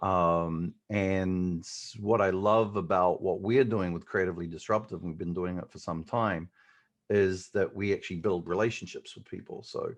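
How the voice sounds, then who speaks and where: Over a quiet background, a man with a New Zealand accent and a very deep, low pitch speaks at a moderate pace with fairly even intonation and big swings in loudness. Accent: New Zealand, noticeable. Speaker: digital marketing agency owner. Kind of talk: podcast interview. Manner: hesitant, many fillers.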